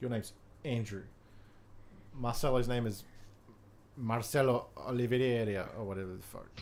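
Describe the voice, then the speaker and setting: A man with an Australian accent speaks at a moderate pace, his voice medium in pitch. He leaves long, frequent pauses, and audible room echo surrounds him. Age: 20s. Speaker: YouTube film reviewer. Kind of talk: casual chat. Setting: live stream. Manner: animated.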